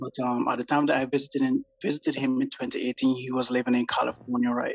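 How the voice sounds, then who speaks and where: A man at medium pitch in a monotone, flat intonation, very fast pace, with a dry, close sound and no echo. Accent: Guyanese. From Guyana. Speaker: illustrator and graphic designer. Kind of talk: casual interview chat. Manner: hesitant, many fillers.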